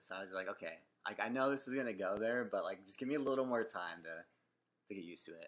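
Talking at a very fast pace, a man with an American accent has a medium pitch and ordinary pitch variation. His loudness swings widely. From Northern California (San Jose). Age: 30s. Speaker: podcast co-host, engineer. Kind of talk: casual chat. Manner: soft-spoken; hesitant.

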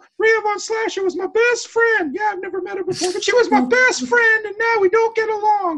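In a squeaky, put-on character voice, the speaker moves at a fairly quick pace. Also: female-sounding voice, extremely high pitch for a woman. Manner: put-on female voice.

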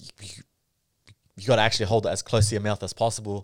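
A man with an Australian accent speaks fairly quickly at a fairly low pitch in a flat monotone. The recording is very clean and dry, close and echo-free, with a silent background. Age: 30s. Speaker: comedian and content creator. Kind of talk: casual chat.

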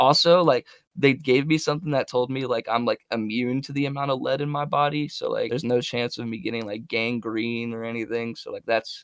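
A man with an unremarkable speaking voice and a medium pitch talks at a fairly quick pace, with hardly any pauses and ordinary pitch variation. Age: 20s. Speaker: music artist and producer. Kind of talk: casual chat.

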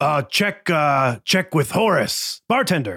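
In a put-on character voice at middle pitch, the speaker goes at a fairly slow pace on a very clean recording with a silent background. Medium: actual play. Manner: one-word grunting phrases.

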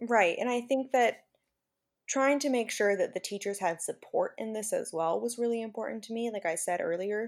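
A woman with an ordinary speaking voice, a fairly quick pace and ordinary pitch variation, on a very clean recording with a silent background. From California Central Valley. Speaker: special education teacher. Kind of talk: interview.

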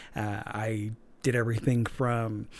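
A man talks in an ordinary speaking voice at a medium pitch. His intonation is fairly even. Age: 40s. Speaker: podcast host. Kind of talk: casual monologue.

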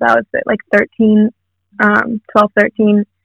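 Pitched fairly high, a woman speaks with an American accent. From US South, Atlanta, Georgia. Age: young. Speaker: singer-songwriter. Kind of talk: interview. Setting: recording studio.

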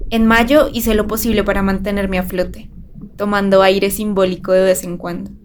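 The speech moves at a moderate pace with fairly even intonation. Noticeable background noise and audible room echo are present. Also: woman, medium pitch for a woman. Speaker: journalist. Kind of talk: personal essay read aloud.

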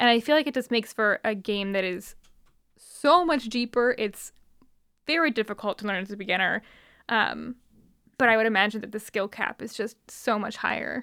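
A bright, sharp tone moves at a moderate pace with ordinary pitch variation and long, frequent pauses. The recording is very clean with a silent background. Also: woman, fairly high pitch for a woman. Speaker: podcast host. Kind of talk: casual chat.

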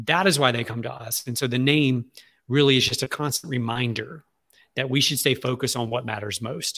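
A man with a Southern US accent talks at a fairly quick pace in a bright, sharp tone. His medium pitch shows ordinary variation. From Louisiana, Alexandria. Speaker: marketing agency CEO. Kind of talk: interview. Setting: remote interview from his office.

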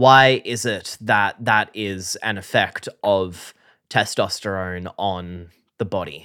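A playful, bright and sharp voice in an Australian accent moves at a very slow pace with fairly even intonation, recorded very cleanly against a silent background with a dry, close sound and no echo. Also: man, fairly low pitch for a man. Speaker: science podcast co-host, enthusiast not scientist. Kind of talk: casual comedic science chat. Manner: jokey, playful.

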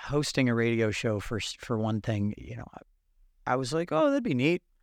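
A man's medium-pitched voice at a moderate pace on a very clean recording with a silent background. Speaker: radio show host, musician; podcast guest. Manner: talkative, long-winded.

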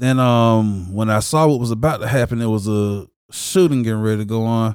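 A man with a normal speaking voice speaks in an American accent at medium pitch, with ordinary pitch variation. The recording is very clean, with a silent background. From Jacksonville, Florida, with time in Chicago. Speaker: church member sharing testimony. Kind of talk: testimony. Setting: studio.

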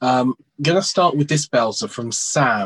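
A man with an unremarkable speaking voice talks at a moderate pace with lively intonation, the sound dry and close with no echo. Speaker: betting show host. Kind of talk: interview chat.

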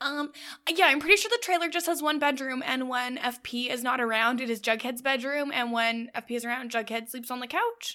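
Her raised, projected voice sits high in pitch as this woman talks at a fairly quick pace, animated in tone and bright and sharp in sound. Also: ordinary pitch variation. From Canada. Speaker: podcast co-host. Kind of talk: casual recap chat.

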